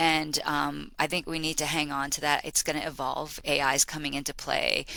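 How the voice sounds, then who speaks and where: A woman with a Boston accent at a moderate pace, in a very clean recording with a silent background. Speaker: learning and development executive. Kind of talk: podcast interview. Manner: animated.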